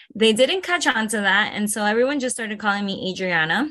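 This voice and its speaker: The voice has a bright, sharp tone, with a Spanish accent. The background is quiet. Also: woman. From Venezuela, raised in South Florida. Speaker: aerialist. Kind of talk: interview.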